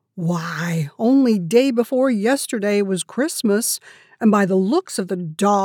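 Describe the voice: Here a text is read out loud. The delivery is plain reading aloud.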